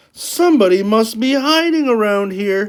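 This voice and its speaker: A put-on character voice comes through at a fairly high pitch and a moderate pace. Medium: read story.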